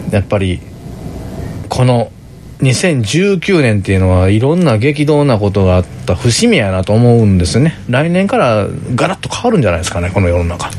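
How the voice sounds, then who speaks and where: A man with a Kansai accent talks at a moderate pace, with very wide pitch swings. Background noise is noticeable. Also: medium pitch for a man. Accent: Kansai intonation. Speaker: podcast co-host. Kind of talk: casual chat.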